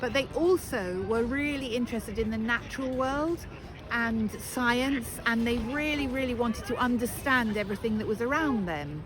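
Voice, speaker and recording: A woman talks at a moderate pace in a high pitch. Noticeable background noise runs underneath. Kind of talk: tour guide talk. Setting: outdoors. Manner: passionate, spontaneous.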